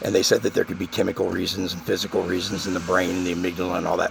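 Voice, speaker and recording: A man talks at a very fast pace. Noticeable background noise is audible. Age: 50s. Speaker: channel host, former political campaigner. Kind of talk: monologue to viewers. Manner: casual, halting with fillers.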